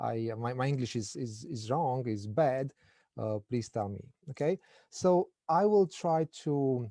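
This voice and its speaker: A man speaks very slowly at a medium pitch, his dark, mellow tone carrying lively intonation in a dry, close recording with no echo. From Romania. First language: Romanian. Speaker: political science lecturer, guest speaker. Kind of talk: academic lecture. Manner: halting, many repetitions.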